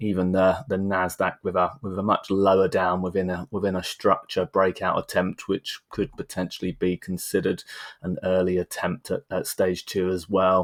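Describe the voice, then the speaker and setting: A man with a very deep, low voice speaks at a moderate pace in a monotone, flat way, with hardly any pauses. The sound is dry and close with no echo, on a very clean recording with a silent background. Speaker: stock market analyst. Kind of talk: market analysis tutorial. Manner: halting, repeats words.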